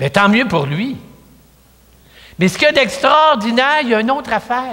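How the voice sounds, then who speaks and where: Audible room echo surrounds a man's bright, sharp tone. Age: 70s. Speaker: priest. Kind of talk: sermon. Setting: church. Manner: conversational.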